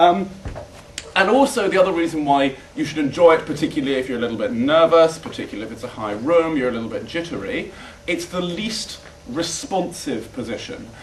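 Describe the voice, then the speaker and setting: A man talks at a fairly quick clip, his pitch swinging very widely and his loudness rising and falling a lot. The room echo is audible, and there's noticeable noise in the background. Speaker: debate coach. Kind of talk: workshop lecture. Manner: fast; casual, hesitant with many fillers.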